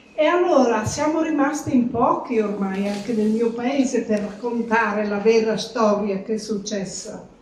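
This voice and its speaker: A woman's fairly high voice, fairly slow yet with hardly any pauses, over noticeable background noise. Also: ordinary pitch variation. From Carnia, Friuli, northeast Italy. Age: 80s+. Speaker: grandmother sharing war memories. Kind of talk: testimony.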